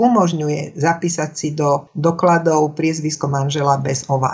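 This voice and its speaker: A woman's somewhat breathy voice at a fairly slow pace, with ordinary pitch variation. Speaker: speech coach and former radio announcer. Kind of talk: interview. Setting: phone call.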